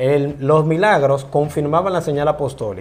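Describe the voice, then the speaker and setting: Over noticeable background noise, a man with fairly high pitch talks at a moderate pace. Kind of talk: interview.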